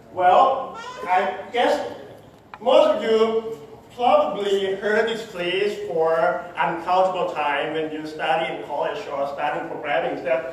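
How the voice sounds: Speaking at a slow pace and a high pitch with ordinary variation, a man is heard through strong room echo.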